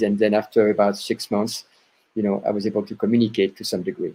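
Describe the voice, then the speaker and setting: A man speaks with a French accent and a dark, mellow tone. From France. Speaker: chiropractor. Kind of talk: interview. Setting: podcast.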